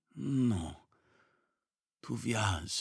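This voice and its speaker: A man's raspy, put-on character voice. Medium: read story. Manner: muttering, few words.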